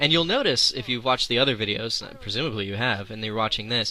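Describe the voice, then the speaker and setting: The man talks very fast, his voice at a medium pitch. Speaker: video creator giving commentary on his own show. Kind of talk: commentary track, casual talk. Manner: hesitant, many fillers and restarts.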